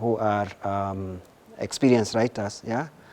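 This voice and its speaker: The speaker has a Kenyan accent and fairly even intonation. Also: man. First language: Gikuyu. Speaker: researcher and writer. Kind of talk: interview answers. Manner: halting, many repetitions and fillers.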